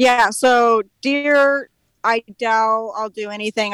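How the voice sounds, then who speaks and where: In an American accent, a woman with a plain, everyday voice talks at a fairly high pitch and fairly slow pace, in a dry, close sound with no echo. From California. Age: 20s. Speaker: hunter. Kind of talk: casual chat. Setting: outdoors.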